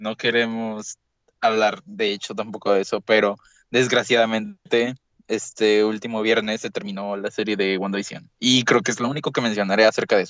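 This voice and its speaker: Monotone and flat in intonation, a man speaks at a fairly low pitch and a moderate pace. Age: young. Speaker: podcast co-host. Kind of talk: casual chat.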